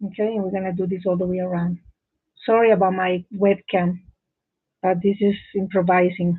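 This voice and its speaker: Speech at a moderate pace with a non-native accent and long, frequent pauses. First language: not English. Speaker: crochet teacher. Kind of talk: live tutorial. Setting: live stream from home office. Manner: halting.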